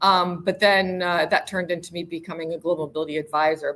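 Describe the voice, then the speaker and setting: A woman with an American accent and a fairly low pitch talks at a very fast pace amid noticeable background noise. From United States. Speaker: global mobility professional. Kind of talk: interview.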